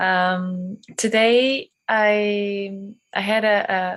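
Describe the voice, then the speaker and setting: Speaking with a non-native accent, a woman keeps her intonation fairly even. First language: not English. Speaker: meditation participant. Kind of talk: testimony. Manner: halting.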